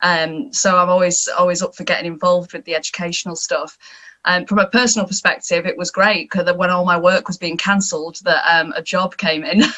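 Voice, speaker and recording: Speech moves along fairly quickly. The pitch shifts a normal amount. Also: woman. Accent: northern English. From northern England. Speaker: TV and radio presenter. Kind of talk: panel discussion.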